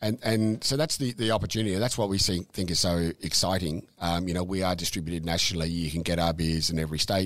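A man with an Australian accent speaks very fast with a very deep, low pitch, ordinary pitch variation and hardly any pauses. Loudness stays very even on a very clean recording with a silent background. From Melbourne area, Australia. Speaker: brewery owner. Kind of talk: casual interview. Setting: office at the brewery. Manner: halting, many fillers.

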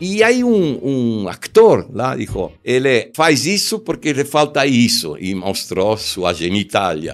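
A man's medium-pitched voice with very wide pitch swings and an Argentine accent. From Argentina. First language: Spanish (speaking Portuguese). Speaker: commercial film director. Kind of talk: interview storytelling. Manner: halting.

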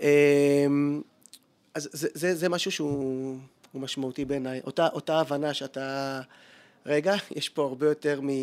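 A man's fairly high voice, monotone and flat in intonation, at a very slow pace. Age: 40s. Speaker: advertising copywriter and creativity lecturer. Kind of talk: interview conversation.

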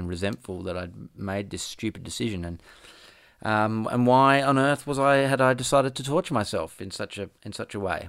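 A man speaks in an Australian accent at a fairly quick pace with ordinary pitch variation. The recording is very clean, with a silent background. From Perth, Western Australia. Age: 40s. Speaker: podcast host and musician. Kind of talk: casual chat. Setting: on location in Williamstown, Melbourne.

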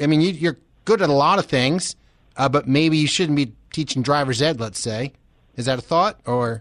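A man with an American accent and a normal speaking voice, fairly high in pitch, at a moderate pace with ordinary pitch variation. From Philadelphia area. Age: 50s. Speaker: radio host. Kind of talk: casual chat. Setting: studio.

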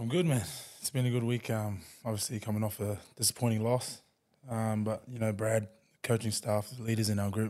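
Fairly quick and flat in intonation, a man with an Australian accent speaks at a fairly low pitch. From New Zealand-born, raised in Queensland from age ten. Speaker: rugby league player. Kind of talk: casual interview. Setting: studio.

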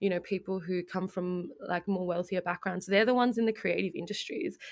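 A very clean recording, silent in the background, of a voice with an Australian accent. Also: woman. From Melbourne, Australia. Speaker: multimedia producer and community radio broadcaster. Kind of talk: casual interview.

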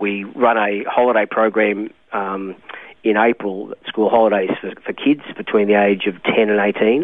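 With an Australian accent, a man speaks at a fairly slow pace and fairly low pitch, his intonation fairly even. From Australia, Melbourne. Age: 60s. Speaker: pastor. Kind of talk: interview. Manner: hesitant, with many ums and uhs.

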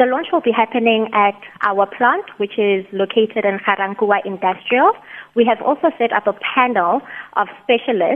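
With a Botswana accent, a woman speaks at a fairly high pitch with ordinary pitch variation. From South Africa, Mahikeng (North West). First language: Setswana. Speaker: company chief executive. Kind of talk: radio interview. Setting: phone call.

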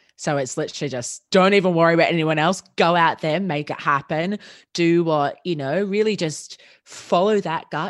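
With an Australian accent, a woman talks at a moderate pace in a fairly low pitch with ordinary pitch variation against a quiet background. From Australia, Melbourne. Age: 20s. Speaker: podcast agency founder. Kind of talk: casual interview.

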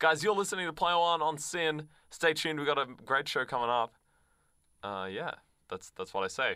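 A man with an Australian accent speaks at a moderate pace in a fairly high, bright, sharp voice with lively intonation. He leaves long, frequent pauses, and the recording is very clean with a silent background. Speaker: radio host. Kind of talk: casual chat. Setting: studio.

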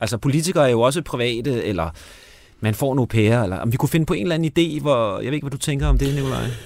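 This man talks at a very fast pace with lively intonation. Vocal fry runs through his voice. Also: medium pitch for a man. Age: 60s. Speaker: radio host and screenwriter. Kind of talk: casual chat. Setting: studio.

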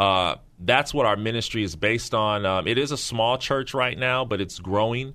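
A man's bright, sharp voice with ordinary pitch variation against a quiet background. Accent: American. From US West Coast, San Francisco Bay Area (Pittsburgh, California). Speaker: pastor. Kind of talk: radio interview. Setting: studio. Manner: halting, many repetitions and fillers.

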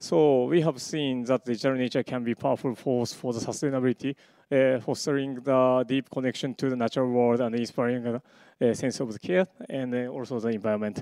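The voice carries a Japanese accent and a dark, mellow tone with fairly even intonation. It moves at a fairly quick pace, with a dry, close sound and no echo. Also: man, medium pitch for a man. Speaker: media artist and computer science researcher. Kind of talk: conference talk. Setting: stage with audience. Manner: halting, many fillers.

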